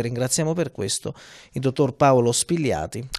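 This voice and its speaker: Lively intonation marks this man's moderate-paced speech. Behind him, the background stays quiet. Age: young. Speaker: TV host. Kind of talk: TV interview. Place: home room. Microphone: handheld.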